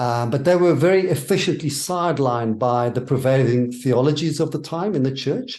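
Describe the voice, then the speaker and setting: Speaking with a South African accent, a man leaves hardly any pauses. His pitch varies in an ordinary way. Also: fairly high pitch for a man, moderate pace. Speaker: minister and theologian. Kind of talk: interview.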